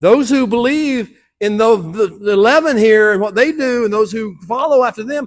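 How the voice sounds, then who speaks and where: Recorded dry and close with no echo, a man speaks at a fairly quick pace in a high voice. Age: 70s. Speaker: teacher. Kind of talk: sermon.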